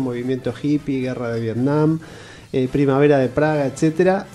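A man with a medium-pitched voice speaks while noticeable background noise carries on. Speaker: theatre director and journalist. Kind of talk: interview.

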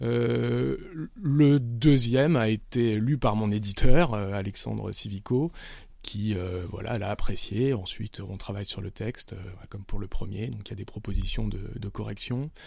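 A man speaks at a fairly slow pace in a fairly low pitch, his dark, mellow tone carried by lively intonation and big swings in loudness, on a very clean recording with a silent background. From France, Nice. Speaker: novelist. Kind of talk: interview. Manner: halting.

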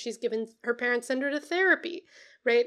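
Captured in a very clean recording with a silent background, a woman talks at a high pitch with ordinary pitch variation. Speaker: book podcast co-host. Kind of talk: casual chat.

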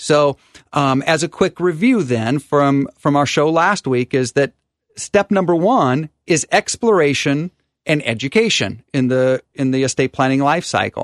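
Over a quiet background, an unremarkable speaking voice moves at a fairly slow pace with very even loudness, ordinary pitch variation, and a dry, close sound with no echo. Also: man, fairly high pitch for a man. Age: 50s. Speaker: estate and tax attorney, radio host. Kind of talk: radio talk show with co-host.

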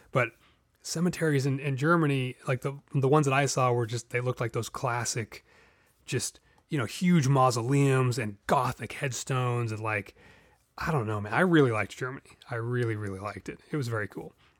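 On a very clean recording with a silent background and a dry, close sound free of echo, the speaker goes at a fairly quick pace with ordinary pitch variation. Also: man, medium pitch for a man. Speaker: tabletop gaming podcast host. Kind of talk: casual solo monologue. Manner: rambling, filler-heavy.

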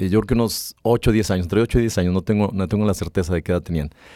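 A man's dark, mellow tone at a fairly quick pace with ordinary pitch variation, dry and close with no echo, on a very clean recording with a silent background. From Mexico, rural Aguascalientes (Rincón de Romos). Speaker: business executive. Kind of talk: interview. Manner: halting, many fillers.

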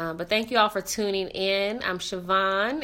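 A woman's bright, sharp voice at medium pitch has an animated tone, captured on a very clean recording with a silent background. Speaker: podcast host. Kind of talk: casual interview chat. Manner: animated, laughs often.

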